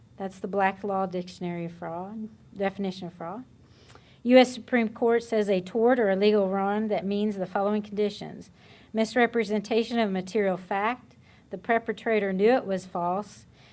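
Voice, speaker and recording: A medium-pitched woman's voice with fairly even intonation and big swings in loudness, on a very clean recording with a silent background. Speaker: accountant presenter. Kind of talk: workshop presentation. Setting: workshop with audience. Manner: fast.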